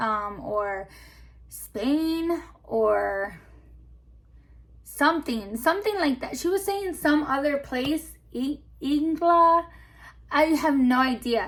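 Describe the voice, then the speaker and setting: A woman's high voice in a Spanish accent, very slow, with lively intonation and long, frequent pauses. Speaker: YouTuber storyteller. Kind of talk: casual storytime chat. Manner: casual, hesitant with many fillers.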